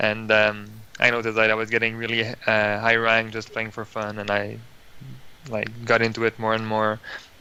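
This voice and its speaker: The tone is bright and sharp, with a Quebec accent. Delivery is at a moderate pace in a monotone, flat intonation. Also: man, medium pitch for a man. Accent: Quebec French-Canadian. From Quebec, Montreal. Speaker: competitive card game player. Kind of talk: interview. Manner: hesitant with fillers.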